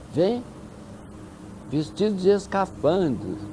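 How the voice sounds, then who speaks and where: A man talks very slowly. Behind him, music can be heard. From Minas Gerais, Brazil. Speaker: UFO researcher. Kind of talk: interview answer.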